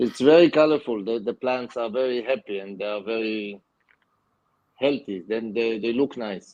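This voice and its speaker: With a non-native accent, a man speaks at a moderate pace and medium pitch with ordinary pitch variation. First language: not English. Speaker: aquascaper and aquatic plant grower. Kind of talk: casual interview. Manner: halting.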